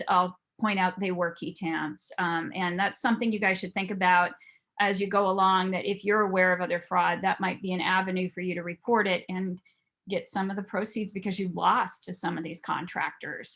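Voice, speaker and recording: At a moderate pace, a woman of medium pitch talks in a bright, sharp tone with monotone, flat intonation. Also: quiet background. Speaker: private investigator and fraud examiner. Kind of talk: presentation.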